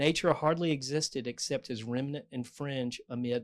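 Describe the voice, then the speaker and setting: A man with a North Carolina accent is heard in a very clean recording with a silent background. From North Carolina, US South. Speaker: novelist. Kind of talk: author talk with reading aloud. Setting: bookstore event with audience, microphone.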